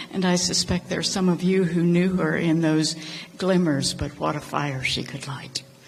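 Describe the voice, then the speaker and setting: A woman's fairly low voice in an American accent, moderate pace and fairly even intonation, with noticeable background noise and audible room echo. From North Carolina. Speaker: congregation member. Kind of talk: memorial tribute. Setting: church memorial service.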